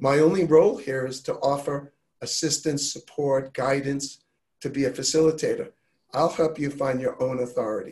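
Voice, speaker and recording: A man with an American accent talks at a moderate pace and a fairly high pitch. His voice is somewhat breathy, with fairly even intonation. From New York. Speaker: health and wellness advocate. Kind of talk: casual chat.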